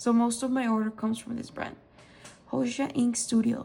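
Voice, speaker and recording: A woman speaks in a high pitch with flat, monotone intonation. Noticeable background noise is present. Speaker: stationery and fountain pen ink reviewer. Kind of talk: casual product review haul. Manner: hesitant, many fillers.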